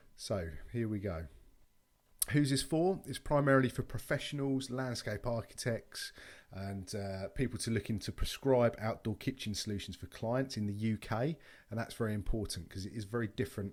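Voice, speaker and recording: In a very clean recording with a silent background, a man with a British accent talks at a medium pitch with ordinary pitch variation. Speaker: outdoor kitchen supplier. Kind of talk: presentation. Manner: fast.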